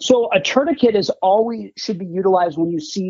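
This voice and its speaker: A man talks with an Upper Midwest US accent. His pitch is high. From Wisconsin, Green Bay. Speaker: former combat medic, first aid kit maker. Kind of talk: casual interview.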